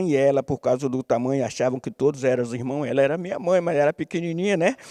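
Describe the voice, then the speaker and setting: Recorded with a dry, close sound and no echo, a man speaks with a dark, mellow tone, a fairly high pitch and ordinary pitch variation. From Bahia, Brazil (Camaçari). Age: 70s. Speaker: capoeira master. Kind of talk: interview. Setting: theatre stage. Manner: halting.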